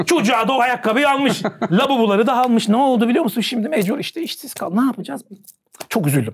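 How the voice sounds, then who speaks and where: A man talks at a very fast pace in an extremely high pitch. His tone is animated and his intonation lively. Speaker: savings and investment expert. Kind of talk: talk show interview. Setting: studio.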